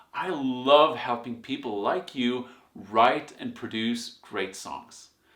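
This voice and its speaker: With lively intonation and an enthusiastic tone, a man speaks at a medium pitch as the room echoes audibly. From Sweden. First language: Swedish. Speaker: songwriting teacher and music producer. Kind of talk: online course lecture.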